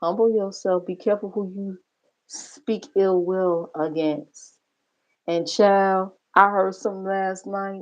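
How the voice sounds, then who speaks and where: A woman speaks at a very slow pace in a medium pitch, her intonation fairly even. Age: 50s. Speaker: livestreamer. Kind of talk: casual livestream commentary.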